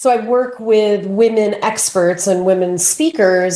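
In an American accent, the voice has a dark, mellow tone and a fairly slow pace. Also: woman. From Pennsylvania, US. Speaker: public speaking coach. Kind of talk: interview.

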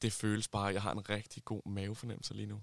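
A man's fairly low voice with monotone, flat intonation, in a dry, close sound with no echo. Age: 20s. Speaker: friend of the hosts. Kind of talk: casual chat. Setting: summer house.

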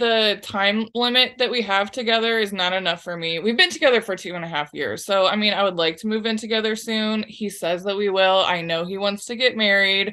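In a normal speaking voice, a woman talks at a fairly quick pace and medium pitch, with fairly even intonation and hardly any pauses. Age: 30s. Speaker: advice seeker. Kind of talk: casual chat.

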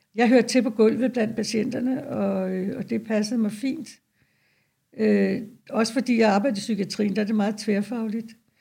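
Fairly high-pitched woman with a dark, mellow tone, vocal fry, fairly even intonation and a moderate pace. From Denmark, North Zealand. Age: 70s. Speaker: retired nurse. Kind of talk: interview. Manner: halting.

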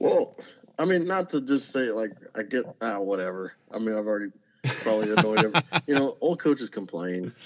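Here a man with a South Texas accent talks at a fairly quick pace in a medium pitch. His intonation is lively, broken by long, frequent pauses. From South Texas, Zapata. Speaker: high school football coach. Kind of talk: casual interview.

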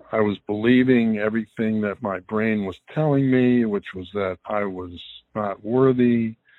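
A man with an American accent talks at a fairly slow pace and fairly low pitch in a plain, everyday voice. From northern US (Detroit, Ohio, Pittsburgh, Long Island). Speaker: mental health advocate and podcaster. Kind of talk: interview.

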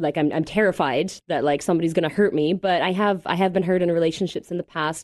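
A woman speaks very fast with a Canadian accent. Her pitch sits fairly low. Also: quiet background. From Canada, Mississauga near Toronto. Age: 30s. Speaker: podcast guest. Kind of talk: casual interview. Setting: studio.

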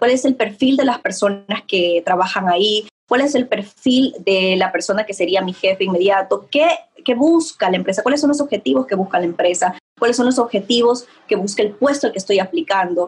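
Speaking fairly quickly, a woman uses lively intonation at a medium pitch. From Ecuador. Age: young. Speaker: image consultant. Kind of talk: interview. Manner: halting.

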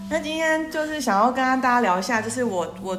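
A woman at a fairly quick pace, very wide pitch swings, and audible room echo. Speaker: podcast co-host, older sister. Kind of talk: casual chat.

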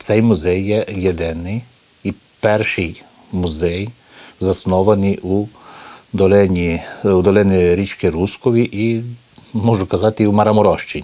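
A man talks in a fairly low voice, leaving long, frequent pauses. Noticeable background noise runs under the recording. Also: fairly even intonation, fairly slow pace. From Romania, Maramureș, Hutsul Ukrainian village. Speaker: cultural centre director and foundation head. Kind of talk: interview testimony. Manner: halting, many hesitations.

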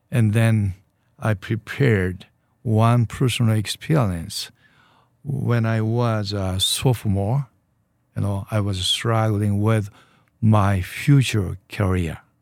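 A man with a Japanese accent speaks very slowly in a fairly low pitch, leaving long, frequent pauses. His pitch varies in an ordinary way, and the recording is very clean with a silent background. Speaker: church leader. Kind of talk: interview. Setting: studio. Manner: halting.

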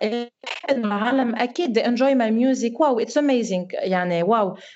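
Speaking at a moderate pace, a woman uses an unremarkable speaking voice, fairly high in pitch with ordinary pitch variation. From Lebanon, raised partly in France. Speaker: singer, talent show graduate. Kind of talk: casual interview chat.

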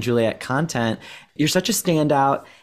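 With an American accent, a man uses an ordinary speaking voice at a medium pitch and a moderate pace. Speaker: podcast co-host. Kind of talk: casual interview. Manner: excitable.

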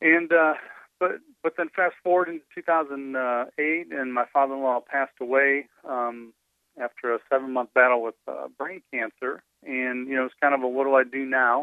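Here is a man with an ordinary speaking voice, medium in pitch, using fairly even intonation at a moderate pace. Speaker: ministry leader. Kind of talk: interview. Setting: outdoors.

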